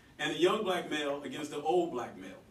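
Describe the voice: A man at a fairly high pitch and a fast pace, with big pitch swings and audible room echo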